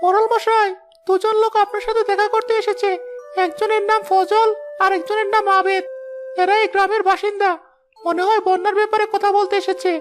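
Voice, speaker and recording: A cartoonish character voice at an extremely high pitch, moderate pace, and faint music in the background. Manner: polite, deferential.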